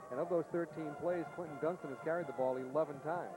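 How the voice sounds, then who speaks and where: A man with an American accent speaks at a fairly high pitch with ordinary pitch variation while music plays in the background. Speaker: football color commentator. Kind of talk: live commentary. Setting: high school football stadium broadcast.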